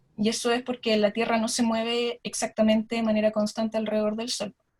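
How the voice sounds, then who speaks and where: A woman's somewhat breathy, fairly high-pitched voice at a fairly quick pace. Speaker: astronomer. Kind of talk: lecture. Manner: fast.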